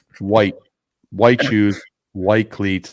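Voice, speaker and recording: A man with a Philadelphia accent and a fairly low voice. He speaks very slowly. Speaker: podcast host. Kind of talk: casual chat. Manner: animated.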